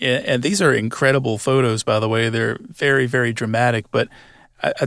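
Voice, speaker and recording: The speaker has an American accent and vocal fry. The pace is moderate, and the intonation is fairly even. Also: man. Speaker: podcast host. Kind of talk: scripted narration; interview.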